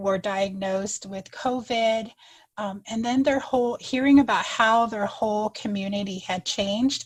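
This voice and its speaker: A woman with an American accent speaks at a moderate pace, somewhat breathy, with fairly even intonation. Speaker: third-grade teacher. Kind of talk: podcast interview.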